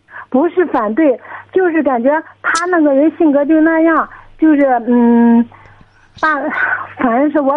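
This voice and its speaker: A woman talks at a moderate pace. Her voice is high-pitched with ordinary pitch variation. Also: long, frequent pauses, very even loudness. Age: 20s. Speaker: caller. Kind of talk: phone-in personal problem. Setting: phone call. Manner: halting. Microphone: crackly phone line.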